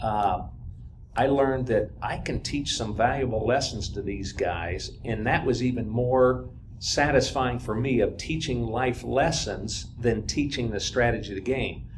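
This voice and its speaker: The voice shows ordinary pitch variation. Noticeable background noise and audible room echo come through. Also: man, medium pitch for a man, fairly slow pace. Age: 60s. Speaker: football coach. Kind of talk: casual chat. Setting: stage with audience.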